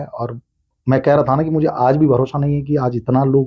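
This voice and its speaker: A man speaks at a medium pitch and a moderate pace. His voice is somewhat breathy, with fairly even intonation. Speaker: voice-over artist and stage anchor. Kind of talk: podcast interview answer.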